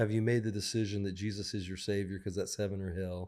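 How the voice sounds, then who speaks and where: A man in a Southern US accent, fairly low in pitch, fairly quick, with fairly even intonation, on a very clean recording with a silent background. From US South, Mississippi coast. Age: 60s. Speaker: songwriter. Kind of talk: casual chat.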